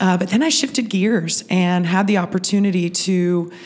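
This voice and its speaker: A woman with an American accent talks at medium pitch over noticeable background noise. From Pittsburgh, Pennsylvania. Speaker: festival organization CEO. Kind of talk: interview.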